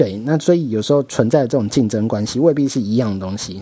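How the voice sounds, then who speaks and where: A man with a Taiwanese accent talks at a fairly quick pace. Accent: Taiwanese Mandarin. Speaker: podcast host, media marketing worker. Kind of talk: casual solo monologue. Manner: rambling, stream of consciousness.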